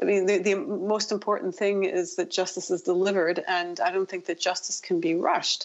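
A woman with a normal speaking voice talks at a fairly quick pace in a medium pitch, her intonation fairly even. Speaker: human rights researcher. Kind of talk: radio interview.

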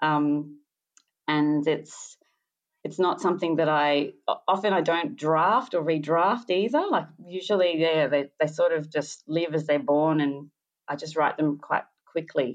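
A woman's very deep, low voice at a fairly slow pace, with ordinary pitch variation, against a quiet background. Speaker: singer-songwriter. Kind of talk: radio interview.

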